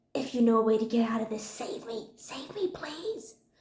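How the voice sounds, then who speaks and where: In a room with audible echo, a woman with a fairly high pitch speaks at a fairly slow pace, her tone animated and her intonation lively. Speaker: booktuber. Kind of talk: casual vlog monologue.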